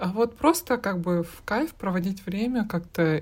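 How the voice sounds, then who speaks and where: Speaking at a fairly slow pace, a woman with a medium pitch sounds somewhat breathy, her intonation lively. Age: 30s. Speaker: podcast co-host. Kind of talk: casual chat.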